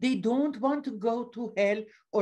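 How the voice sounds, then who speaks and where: With a Persian accent, a woman talks at a very slow pace in a dark, mellow tone with lively intonation against a quiet background. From Iran. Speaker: author; panelist. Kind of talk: presentation reading from slides. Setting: video call. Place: home room. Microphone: webcam.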